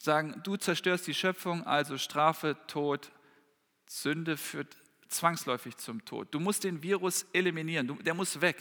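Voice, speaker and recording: A man speaks at a fairly slow pace in a fairly high pitch, with ordinary variation in pitch. His tone is bright and sharp, and the recording is very clean with a silent background. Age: 30s. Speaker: preacher. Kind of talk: sermon. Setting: church hall with congregation, livestreamed.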